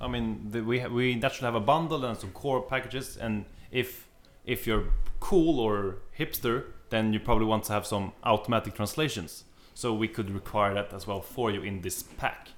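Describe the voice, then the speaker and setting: A man talks at a moderate pace at medium pitch, with ordinary pitch variation. It is a plain, everyday voice. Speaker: podcast host.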